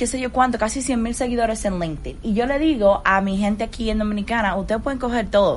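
This woman talks at a very fast pace with a fairly high pitch. Noticeable background noise is present. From Dominican Republic, Santo Domingo. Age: 20s. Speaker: financial analyst. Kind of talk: interview. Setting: studio.

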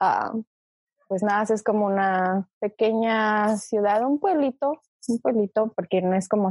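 In a Mexico City accent, a woman speaks at a fairly slow pace. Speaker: guest. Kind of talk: casual chat.

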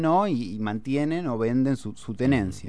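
This man has a plain, everyday voice, medium in pitch, with ordinary pitch variation. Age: 30s. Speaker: financial analyst. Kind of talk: casual chat.

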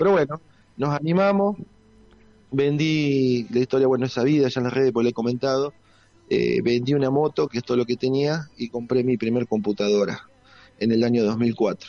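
This man has an unremarkable speaking voice at medium pitch. His pace is moderate, with ordinary pitch variation. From Argentina, rural Santa Fe province. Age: 40s. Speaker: engineering company executive. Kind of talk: radio interview.

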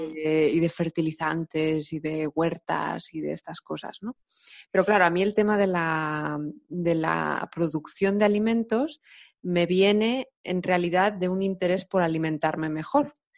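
A woman with a Castilian accent at a fairly slow pace. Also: fairly low pitch for a woman, ordinary pitch variation. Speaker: podcast host and translator. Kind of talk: interview.

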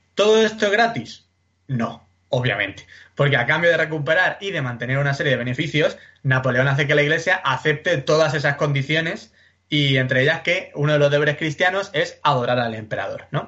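Talking fairly fast in a normal speaking voice, a man sits rather high in pitch, with ordinary variation in it. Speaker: podcast co-host. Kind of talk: casual chat. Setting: recording from home during quarantine.

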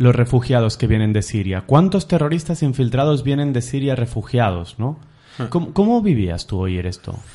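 With a dark, mellow tone and a somewhat breathy quality, a man speaks at a moderate pace and medium pitch, his pitch swinging very widely. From Catalonia. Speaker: podcast host. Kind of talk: interview.

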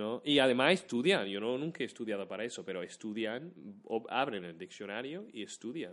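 A man speaks at a fairly quick pace in a plain, everyday voice, pitched in the medium range. His intonation is lively, and his loudness swings widely. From US Midwest (Troy, Michigan, near Detroit). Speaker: actor. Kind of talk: casual chat.

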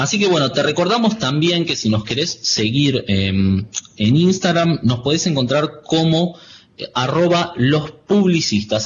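A man at a fairly slow pace with lively intonation, amid noticeable background noise. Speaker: radio host. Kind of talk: radio interview.

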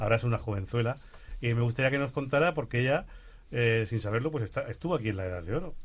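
The man talks at a very fast pace, with a medium pitch and ordinary pitch variation. His voice is somewhat breathy. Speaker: radio host. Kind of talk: casual radio chat.

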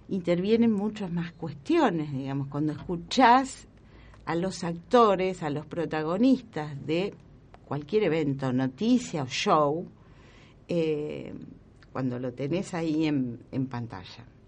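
A woman speaks very slowly in a very deep, low pitch. Her pitch swings very widely. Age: 60s. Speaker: historian and professor. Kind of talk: interview.

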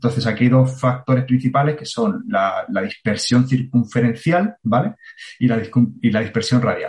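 A man speaks at a moderate pace with medium pitch and ordinary pitch variation. His voice is somewhat breathy. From Andalusia, Spain (Marbella). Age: 30s. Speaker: coastal engineer and surfer. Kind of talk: explanatory interview.

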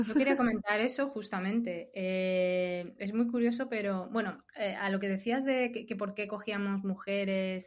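A woman has a normal speaking voice at a medium pitch. She talks at a fairly slow pace with fairly even intonation. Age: 40s. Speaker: video game designer. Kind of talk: casual chat.

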